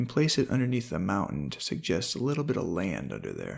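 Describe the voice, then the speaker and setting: Showing vocal fry, a man speaks at a fairly quick pace with a medium pitch and very wide pitch swings, recorded very cleanly against a silent background. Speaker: hobby painter and angler, channel owner. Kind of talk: painting tutorial narration.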